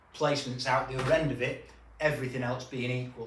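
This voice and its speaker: At a very fast pace, a man with a British accent talks at a medium pitch with fairly even intonation. Noticeable background noise and audible room echo come through. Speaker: recruitment business trainer. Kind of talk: business tutorial.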